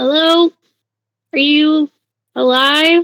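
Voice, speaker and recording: A woman puts on a character voice. It is squeaky and high in pitch. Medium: actual play. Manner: hesitant, stammering.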